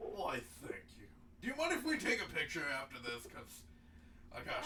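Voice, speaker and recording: A man's put-on character voice at an extremely high pitch, with big swings in loudness over clear background noise. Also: moderate pace. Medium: actual play. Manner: eager, effusive, slightly flustered.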